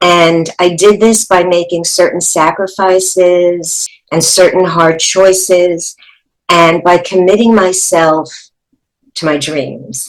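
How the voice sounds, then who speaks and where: The speaker has a New York accent. The pace is very slow and the intonation fairly even. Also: woman, fairly low pitch for a woman. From New York City. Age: 70s. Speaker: actress and teacher. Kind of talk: life story testimony.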